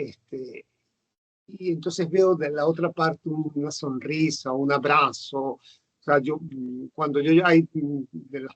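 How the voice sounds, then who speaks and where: Very slow pace with fairly even intonation. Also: man, fairly high pitch for a man. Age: 60s. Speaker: nurse. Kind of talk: casual interview. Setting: video call. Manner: halting, many fillers.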